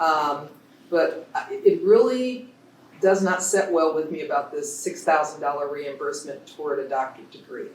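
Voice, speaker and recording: Here a man talks at a moderate pace. Audible room echo colors the sound. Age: 60s. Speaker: public commenter at school board meeting. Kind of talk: public comment at board meeting. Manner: animated.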